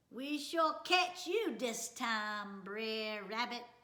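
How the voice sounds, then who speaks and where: A woman puts on a character voice with a fairly high pitch. She talks very slowly. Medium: read story.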